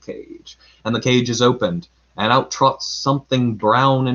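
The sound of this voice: The reading here is delivered in an unforced voice.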